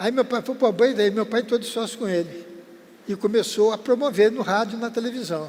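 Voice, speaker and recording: High in pitch for a man, this speaker moves at a fairly quick pace with ordinary pitch variation. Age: 80s+. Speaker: veteran TV presenter. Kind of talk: interview storytelling.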